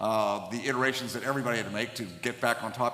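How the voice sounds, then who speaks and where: A fairly quick pace and fairly even intonation, set against noticeable background noise. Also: man. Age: 60s. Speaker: podcast host, dentist. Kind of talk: podcast interview.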